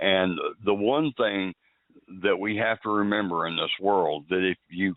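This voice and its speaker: The man's voice has a fairly low pitch. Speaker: radio talk show host. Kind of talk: closing remarks on talk show. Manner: well-spoken.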